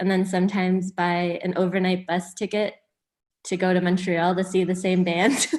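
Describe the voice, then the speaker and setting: Against a quiet background, a woman with a Canadian accent and medium pitch speaks at a moderate pace in a monotone, flat intonation. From Hamilton, Ontario, Canada. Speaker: music industry manager. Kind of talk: casual interview chat.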